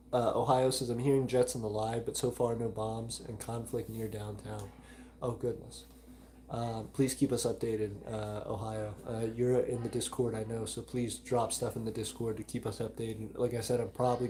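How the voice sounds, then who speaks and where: A man with an American accent speaks at a moderate pace and medium pitch, his intonation monotone and flat. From US South, Alabama. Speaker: micronation livestream host. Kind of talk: live stream chat reading. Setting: live stream.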